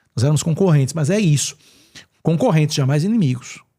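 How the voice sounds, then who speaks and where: The voice is somewhat breathy and animated, racing along at a very fast pace on a very clean recording with a silent background. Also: man. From Pernambuco, Brazil. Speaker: journalist and radio/TV presenter. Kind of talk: casual podcast interview.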